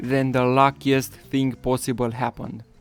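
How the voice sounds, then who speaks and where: Over music in the background, a man speaks at a fairly slow pace with a medium pitch. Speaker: gaming YouTuber. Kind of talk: excited gameplay commentary. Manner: loud, excitable.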